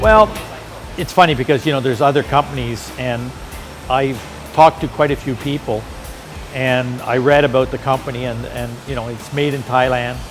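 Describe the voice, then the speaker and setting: Someone with a Canadian accent speaks at a moderate pace over background music, with ordinary pitch variation and long, frequent pauses. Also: man, medium pitch for a man. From Canada. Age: 60s. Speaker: motorcycle rider. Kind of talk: interview. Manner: halting.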